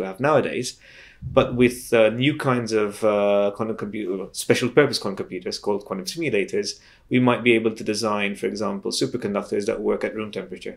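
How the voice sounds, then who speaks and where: With ordinary pitch variation, the man rushes through his words at a very fast pace against a quiet background. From Malta. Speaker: physics professor. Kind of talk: interview. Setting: conference venue. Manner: halting, frequent repetitions. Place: home room.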